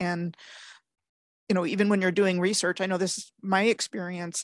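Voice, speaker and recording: Heard in a dry, close sound with no echo, a woman with an American accent has a normal speaking voice at a medium pitch and fairly even intonation. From US, suburban Maryland near Washington D.C. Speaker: history researcher and show host. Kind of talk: casual interview conversation.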